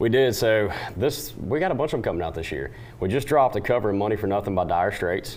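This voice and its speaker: Talking very fast in a Southern US accent, a man uses a fairly low pitch and lively intonation. Noticeable background noise runs behind him. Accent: Southern twang. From western North Carolina. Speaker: country singer. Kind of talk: TV interview.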